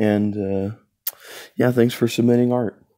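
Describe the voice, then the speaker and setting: A man speaks at a moderate pace with a dark, mellow tone and fairly low pitch. His intonation is fairly even, and the background is quiet. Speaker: channel host. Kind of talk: casual vlog chat. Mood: playful, a bit awkward. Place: home room. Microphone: phone near.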